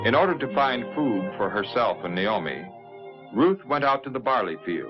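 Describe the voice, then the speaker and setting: With music in the background, a man at a medium pitch speaks at a moderate pace and makes very wide pitch swings. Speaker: narrator. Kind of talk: 1950s religious TV narration of a Bible story.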